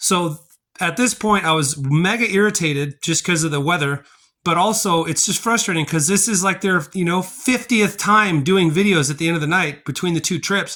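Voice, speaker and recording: A man talks loudly in an animated tone at a high pitch and moderate pace, with ordinary pitch variation. The recording is very clean, with a silent background. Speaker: family vlogger. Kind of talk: casual vlog narration to camera.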